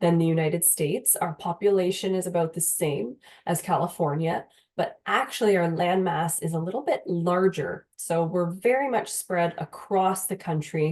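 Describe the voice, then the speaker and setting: A woman with a fairly low pitch, a dark, mellow tone and a moderate pace. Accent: slight Canadian. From Canada, Windsor, Ontario. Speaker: university recruitment manager. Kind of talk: presentation.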